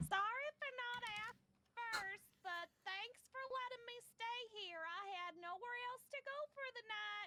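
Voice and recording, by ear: A put-on character voice, female-sounding and extremely high-pitched, at a fairly slow pace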